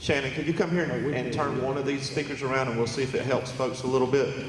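With an American accent, a man talks at a fairly quick pace and medium pitch with fairly even intonation, amid noticeable background noise and audible room echo. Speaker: county commission chairman. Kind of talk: public meeting chairing. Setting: public meeting hall with PA speakers. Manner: loud.

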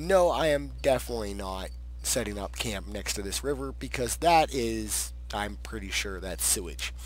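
Speaking at a moderate pace, a man with a very deep, low pitch sounds somewhat breathy, and his intonation stays fairly even. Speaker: streamer. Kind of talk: casual gameplay commentary.

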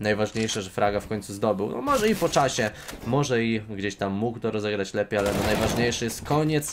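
Amid noticeable background noise, a man with a fairly low pitch talks at a fairly quick pace in an animated tone, with ordinary pitch variation and hardly any pauses. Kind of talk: live esports commentary on a CS:GO match. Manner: fast, animated play-by-play, rapid-fire and excitable with casual banter; sometimes halting, self-correcting mid-sentence.

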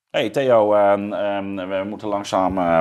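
The background stays quiet. Against it, a man's very deep, low voice is heard. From Zeeuws-Vlaanderen, southern Netherlands; Netherlands. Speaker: podcast host, philosopher; podcast host. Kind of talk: interview conversation. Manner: halting, many fillers. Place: studio. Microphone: lapel.

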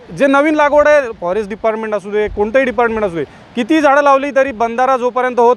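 Against noticeable background noise, a man with an extremely high pitch speaks with ordinary pitch variation. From Nagaon, Alibag, Raigad (Konkan). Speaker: villager. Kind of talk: vox pop interview.

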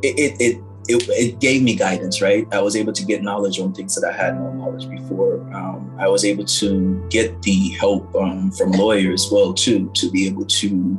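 At a moderate pace with hardly any pauses, a man speaks in a fairly low voice with ordinary pitch variation over clear music in the background. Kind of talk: interview answer. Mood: reflective, earnest. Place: home room. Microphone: phone near.

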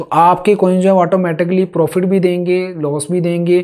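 At a fairly slow pace, a man talks in a high pitch with a dark, mellow tone. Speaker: crypto trading educator. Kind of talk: tutorial.

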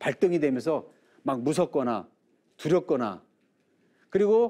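Fairly slow speech over a quiet background. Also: man. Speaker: lecturer. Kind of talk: lecture. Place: studio.

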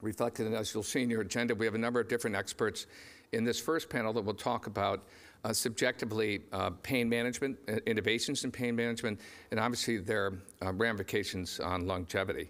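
Talking at a very fast pace, a man keeps a fairly even intonation and very even loudness. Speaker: conference moderator. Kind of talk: conference introduction speech. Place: stage.

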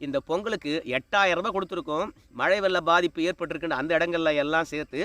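The voice is raised and projected, with a bright, sharp tone. The sound is dry and close, with no echo. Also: man. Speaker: political commentary YouTuber. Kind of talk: political commentary monologue.

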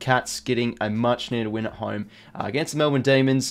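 His speech moves at a fairly quick pace. The man's intonation stays fairly even throughout. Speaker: sports commentary vlogger. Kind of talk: commentary. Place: home room.

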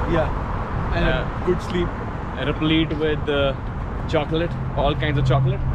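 A man speaks at a moderate pace. The sound is dry with no echo, but the background noise is loud. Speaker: travel vlogger. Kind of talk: casual vlog chat. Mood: cheerful, joking. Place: street. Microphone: phone near.

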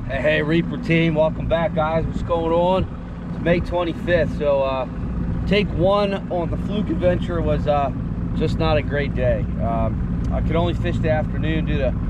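A man at a fairly slow pace, dry sound with no echo, amid loud background noise. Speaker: fishing vlogger. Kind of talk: casual vlog chat. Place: boat. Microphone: phone near.

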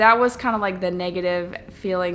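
Faint music plays behind a woman whose intonation stays fairly even. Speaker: travel vlogger. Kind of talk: casual vlog chat. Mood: reflective, mildly critical. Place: home room. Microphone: phone near.

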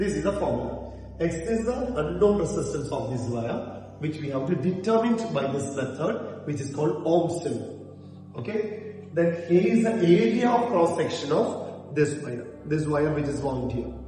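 Over light background noise and strong room echo, a man talks at a moderate pace with lively intonation. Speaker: physics teacher. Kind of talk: lecture. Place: classroom. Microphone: camera far.

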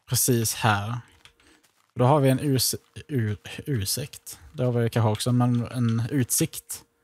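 The sound is dry and close with no echo, the speech very slow with long, frequent pauses. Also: man, medium pitch for a man, fairly even intonation. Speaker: gaming YouTuber. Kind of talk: casual gameplay commentary. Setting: voice chat while gaming.

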